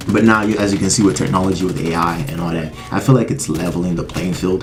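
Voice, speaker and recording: A man with a very deep, low voice talks at a fairly quick pace with lively intonation. Noticeable background noise and audible room echo fill the recording. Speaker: music YouTuber. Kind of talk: casual vlog monologue. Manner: fast; halting.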